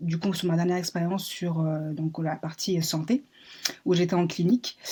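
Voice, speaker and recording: A woman speaks in a somewhat breathy voice with a dark, mellow tone. Her pitch is fairly low and her intonation fairly even. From France, Paris. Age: 20s. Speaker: job seeker in human resources. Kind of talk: job interview. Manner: hesitant, many fillers.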